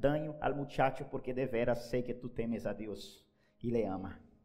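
A man with a Spanish accent speaks at a moderate pace. Audible room echo is present. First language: Spanish (speaking Portuguese). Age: 30s. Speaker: pastor. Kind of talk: sermon.

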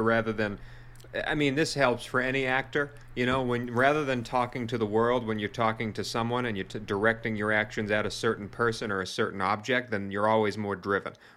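With a Boston accent, a man talks at a very fast pace in a bright, sharp tone. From US Northeast, Boston. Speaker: wrestling podcast co-host. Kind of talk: casual chat. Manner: animated.

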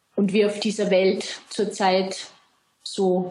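Very slowly and in a flat monotone, a woman speaks with an Austrian accent. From Austria, Salzburg. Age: 30s. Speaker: self-employed brand consultant. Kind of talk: interview.

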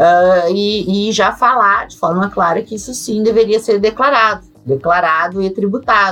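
Over music in the background, a woman speaks at a medium pitch and fairly slow pace in a southern Brazilian accent. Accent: southern Brazilian (gaúcho) Portuguese. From Brazil, Rio Grande do Sul. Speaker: accountant and crypto tax expert. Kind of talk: interview. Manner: hesitant, many fillers.

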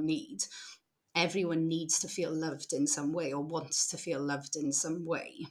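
A woman with a British accent speaks at a very deep, low pitch and a moderate pace. Her intonation is fairly even, and the room echo is audible. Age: 30s. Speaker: social enterprise founder, former social worker. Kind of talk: casual interview.

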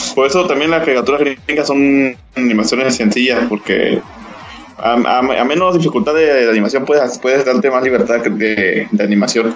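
Over noticeable background noise, a man talks fairly quickly at medium pitch with ordinary pitch variation. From Veracruz, Mexico. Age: 20s. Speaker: podcast co-host. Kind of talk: casual chat.

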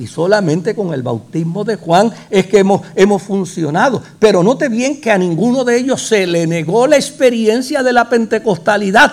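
In a Puerto Rican accent, a man with high pitch and lively intonation speaks at a moderate pace with hardly any pauses. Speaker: pastor. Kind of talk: sermon. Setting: church.

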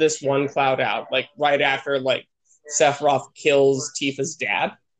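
A man with a fairly high pitch speaks in an unremarkable speaking voice. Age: 20s. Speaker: sketch comedian, podcast co-host. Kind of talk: casual chat. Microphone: connection cutting out.

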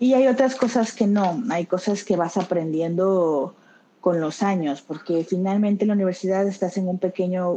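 A woman's dark, mellow voice at a medium pitch, fairly slow, with ordinary pitch variation. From Mexico (Tabasco). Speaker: clinical research associate. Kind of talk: interview.

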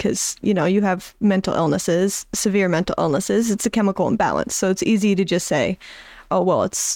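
Vocal fry with very even loudness and fairly even intonation on a very clean recording with a silent background. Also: woman. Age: young. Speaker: anonymous guest sharing mental health story. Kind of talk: personal testimony in conversation. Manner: hesitant.

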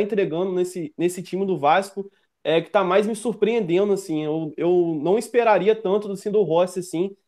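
A man's high-pitched voice at a moderate pace, with ordinary pitch variation and hardly any pauses. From Brazil, northern Rio de Janeiro state (Campos dos Goytacazes). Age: 20s. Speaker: football fan commentator, youtuber. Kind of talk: casual chat.

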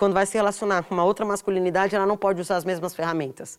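This is a woman speaking. Her pitch is medium. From São Paulo, Brazil. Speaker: artist and interviewee. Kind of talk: casual interview conversation. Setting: in-person recording at a cultural centre.

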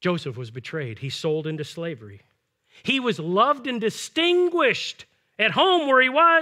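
Loudness swings a lot as a man with a high pitch and a bright, sharp tone speaks in a raised, projected voice at a moderate pace with very wide pitch swings. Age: 50s. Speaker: pastor. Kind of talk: sermon.

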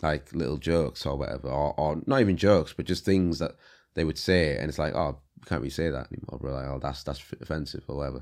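A man's very deep, low voice at a very fast pace, with vocal fry, ordinary pitch variation, big swings in loudness, and a very clean recording with a silent background. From Leeds, northern England (born in Congo). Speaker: rapper, director and visual artist. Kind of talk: casual interview.

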